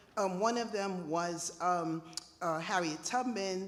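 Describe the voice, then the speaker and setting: With noticeable background noise and audible room echo, a woman talks in a medium pitch with ordinary pitch variation. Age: 60s. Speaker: audience member. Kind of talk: audience comment at Q&A.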